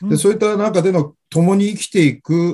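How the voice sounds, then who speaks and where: The speaker is a man. His tone is dark and mellow. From Japan, Sendai (Miyagi). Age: 50s. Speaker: business coach and company founder. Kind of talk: interview talk. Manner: hesitant filler-heavy.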